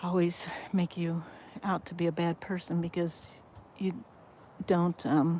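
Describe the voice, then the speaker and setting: A woman's fairly low, dark and mellow voice with monotone, flat intonation. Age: 60s. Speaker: vlogger and ministry founder. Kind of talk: casual livestream talk to camera. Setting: outdoors on a boat. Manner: halting, many fillers.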